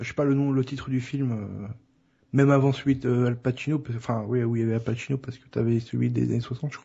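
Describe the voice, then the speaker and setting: At a very fast pace, a man speaks in a monotone, flat intonation at a medium pitch, somewhat breathy, with big swings in loudness. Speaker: podcast co-host. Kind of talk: casual chat.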